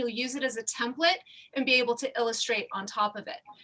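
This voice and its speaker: Over noticeable background noise, a woman in a high pitch speaks in a raised, projected voice at a very fast pace. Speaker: fashion illustration instructor. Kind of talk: tutorial.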